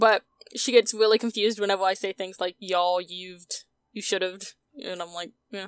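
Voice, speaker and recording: With a normal speaking voice, a woman talks at a moderate pace and medium pitch, her intonation fairly even but her loudness swinging widely, in a dry, close sound with no echo. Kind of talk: casual chat, tabletop roleplaying podcast.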